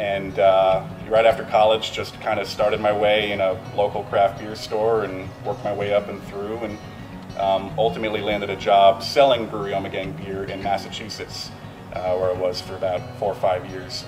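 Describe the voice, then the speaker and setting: Clear music plays behind a man who speaks at a moderate pace in a fairly low pitch, his intonation monotone and flat. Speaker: brewery sales staff. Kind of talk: interview answer. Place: bar.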